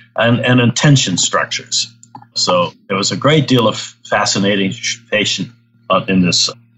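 A man keeps to a moderate pace while music plays in the background. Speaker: architecture professor and building researcher. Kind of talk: interview.

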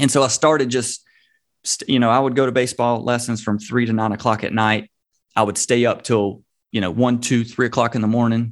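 At a fairly quick pace, a man speaks in a medium pitch with monotone, flat intonation. The background is quiet. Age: 30s. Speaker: social media entrepreneur. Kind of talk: interview. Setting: video call.

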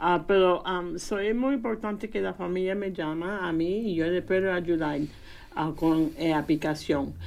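Fairly slow, fairly low-pitched speech from a woman, with ordinary pitch variation. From Indiana, US, of Puerto Rican parents. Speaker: preschool program family advocate. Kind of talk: radio interview. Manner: halting.

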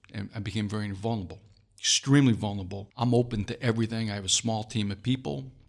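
Here a man speaks at a very fast pace. His pitch is fairly low and his intonation fairly even. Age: 60s. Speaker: leadership author and executive coach. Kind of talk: interview. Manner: halting, with many fillers and repetitions.

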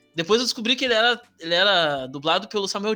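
A man talks at a very fast pace with lively intonation and a bright, sharp tone. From southern Brazil, Rio Grande do Sul (Alvorada). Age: 30s. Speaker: history teacher. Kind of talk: casual chat. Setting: video call.

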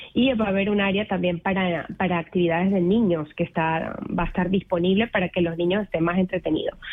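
Here a woman talks at a medium pitch. Her pace is very fast. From Venezuela (Mérida). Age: 40s. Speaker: volunteer event organizer. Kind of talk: radio interview. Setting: radio studio.

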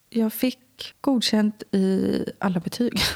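A woman is the one talking. Dark and mellow describes her tone. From Swedish west coast, Lysekil. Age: 20s. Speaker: interview guest sharing life story. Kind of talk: personal testimony interview. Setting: indoor room with host.

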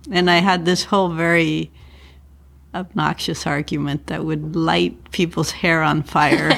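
A woman talks at a fairly slow pace in a fairly low voice with vocal fry. Her intonation stays fairly even. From Mexico City. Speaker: architecture professor and architect. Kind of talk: interview conversation. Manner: straightforward, clear.

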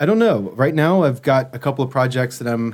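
This man has an unremarkable speaking voice at a medium pitch, with an American accent. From US South, Memphis. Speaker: brand strategy consultant. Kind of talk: interview.

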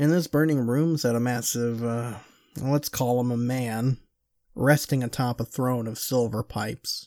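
A man with a normal speaking voice, medium pitch, fairly even intonation and fairly slow pace, on a very clean, silent recording with a dry, close sound and no echo. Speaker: podcast host and storyteller. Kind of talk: horror story narration, first-person, told as a true account. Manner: hushed, slow, tense, building dread.

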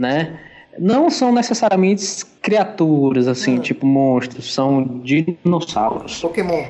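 A man with a high pitch speaks at a fairly slow pace with lively intonation. Noticeable background noise runs underneath. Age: 30s. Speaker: podcast co-host. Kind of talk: casual chat.

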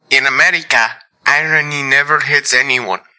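Doing a put-on character voice in a Russian accent, a man speaks at a moderate pace with a raspy, fairly high pitch. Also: monotone, flat intonation. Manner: deadpan, ironic.

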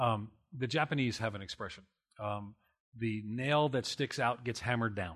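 Medium-pitched male speech in an American accent, ordinary pitch variation, quiet background. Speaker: church planting researcher and pastor. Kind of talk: conference panel discussion. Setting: stage with audience. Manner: loud; fast talker.

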